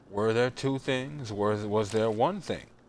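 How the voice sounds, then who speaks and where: This man speaks at a fairly low pitch. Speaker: gaming streamer. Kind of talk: let's play commentary. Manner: monotone.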